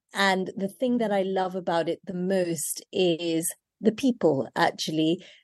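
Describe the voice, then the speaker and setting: Over a quiet background, a woman with a British accent speaks at a medium pitch in a dark, mellow tone with fairly even intonation. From Kenya, then London. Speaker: chef. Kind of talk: interview.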